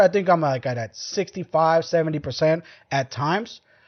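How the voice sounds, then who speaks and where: A fairly high-pitched man with a Mexican accent and ordinary pitch variation. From Mexico. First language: Spanish. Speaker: podcast host. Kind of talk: casual chat.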